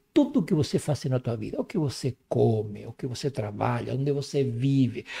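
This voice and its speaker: Vocal fry from a man with a Spanish accent, on a very clean recording with a silent background. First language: Spanish (speaking Portuguese). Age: 60s. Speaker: herbal medicine specialist and professor. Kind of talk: podcast interview.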